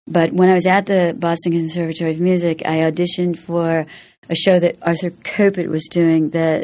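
Fairly quick in pace, a woman with a fairly low pitch and fairly even intonation speaks in a normal speaking voice. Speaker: stage actress. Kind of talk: interview chat. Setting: studio.

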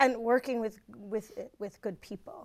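A woman with a normal speaking voice in an American accent, fairly high pitch, ordinary pitch variation and fairly slow pace, on a very clean recording with a silent background. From New Jersey. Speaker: theater actor. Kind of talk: panel interview, casual.

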